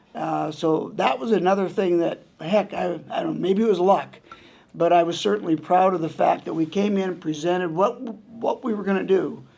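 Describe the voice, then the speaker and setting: Ordinary pitch variation at a moderate pace. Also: man, high pitch for a man. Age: 70s. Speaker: retiring college hockey coach and athletics administrator. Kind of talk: press conference. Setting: press conference. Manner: conversational, with frequent fillers and restarts.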